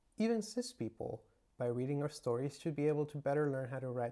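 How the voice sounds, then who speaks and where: The pace here is fairly quick. A Spanish accent comes through. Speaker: writer and video creator. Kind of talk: scripted appeal to supporters.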